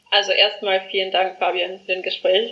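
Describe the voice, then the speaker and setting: The woman talks at a moderate pace and a medium pitch. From South Africa. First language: not German (South African) (speaking German). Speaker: education startup founder. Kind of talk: interview. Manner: halting, many fillers.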